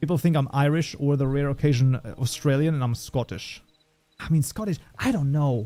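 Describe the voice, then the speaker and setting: With music in the background, a man with a fairly high pitch talks at a fairly quick pace and ordinary pitch variation. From Germany. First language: German. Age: 30s. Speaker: programming livestreamer. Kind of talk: casual livestream chat. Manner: animated.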